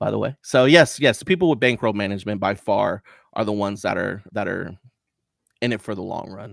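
Vocal fry from a man at a fairly low pitch, with ordinary pitch variation, big swings in loudness and a fairly quick pace. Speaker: poker dealer and streamer. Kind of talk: casual interview.

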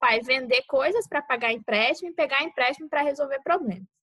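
The voice moves at a fairly quick pace with very wide pitch swings, in a dry, close sound with no echo. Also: woman. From Brazil, Mato Grosso do Sul. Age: 20s. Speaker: medical student, podcast co-host. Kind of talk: casual chat.

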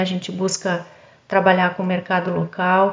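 A woman speaks at a medium pitch. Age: 50s. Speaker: pharmacist and cosmetics entrepreneur. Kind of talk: podcast interview testimony. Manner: halting, repeats words.

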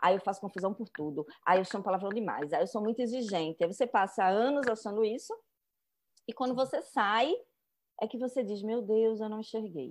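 This woman talks at a fairly quick pace with a fairly high pitch and lively intonation. Her tone is animated against a quiet background. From Recife, Brazil. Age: 40s. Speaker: journalist and writer. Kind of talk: casual interview chat.

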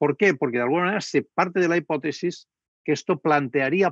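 Someone talks at a fairly quick pace in a dry, close sound with no echo over a quiet background. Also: man. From Spain. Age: 60s. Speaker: political scientist. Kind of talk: lecture. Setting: video call. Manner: halting.

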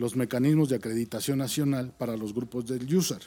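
This man's tone is dark and mellow. He keeps a moderate pace, and his pitch moves in an ordinary way. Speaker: rescue service deputy director. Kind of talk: casual chat.

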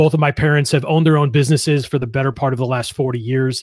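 The recording is very clean, with a silent background and a dry, close sound lacking any echo. A man with an American accent speaks in a somewhat breathy voice at medium pitch. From Western New York (Buffalo area). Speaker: entrepreneur and business mentor. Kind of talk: interview.

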